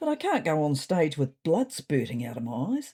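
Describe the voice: In a put-on character voice, a woman speaks at a low pitch and moderate pace, her dark, mellow tone carrying a slightly husky edge and very wide pitch swings.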